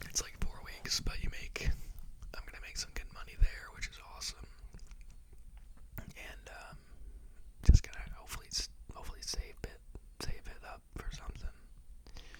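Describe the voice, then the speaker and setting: The voice is whispering in a relaxed tone. Long, frequent pauses break it up. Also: moderate pace. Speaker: teacher. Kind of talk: ASMR whisper ramble, casual talk to camera. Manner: whispered, relaxed, rambling.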